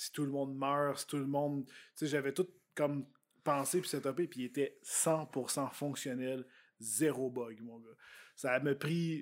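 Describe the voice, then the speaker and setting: A man with a Quebec accent speaks at a very slow pace with long, frequent pauses and big swings in loudness. His pitch is fairly high, his intonation fairly even, and the recording very clean with a silent background. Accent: Québécois French. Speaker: YouTuber and vlogger. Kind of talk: casual chat.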